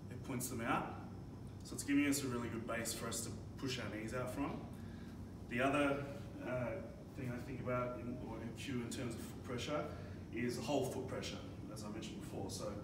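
With audible room echo and noticeable background noise, a man talks at a fairly quick pace. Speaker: strength coach. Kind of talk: tutorial. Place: gym. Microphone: camera far.

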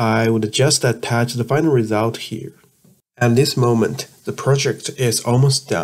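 With a Chinese accent, a man speaks at a fairly slow pace and a medium pitch, using ordinary pitch variation. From China. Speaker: chemistry student vlogger. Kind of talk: tutorial narration. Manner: halting.

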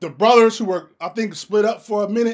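High-pitched male voice, fairly quick, with ordinary pitch variation against a quiet background. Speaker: reaction video host. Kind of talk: casual reaction commentary.

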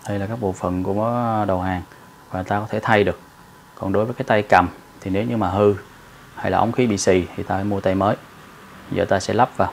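A man rattles along at a very fast pace, light noise audible behind him. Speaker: welding instructor. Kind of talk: tutorial. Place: workshop.

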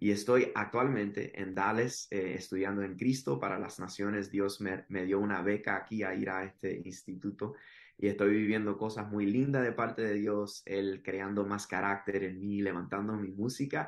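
A man talks in an ordinary speaking voice, fairly low in pitch with fairly even intonation. He hardly pauses, and the background is quiet. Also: moderate pace. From Miami, Florida (Cuban parents). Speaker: podcast guest. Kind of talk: testimony. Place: home room. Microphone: video call.

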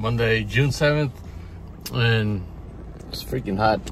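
A man at a very slow pace, in a dry sound with no echo and noticeable background noise. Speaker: toy collector vlogger. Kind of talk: casual vlog chat. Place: car. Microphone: phone near.

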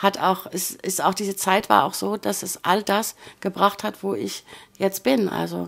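A woman is speaking. Her pace is fairly slow. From northern Germany, Bremen. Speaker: former cruise ship worker, emigrant. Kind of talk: casual interview.

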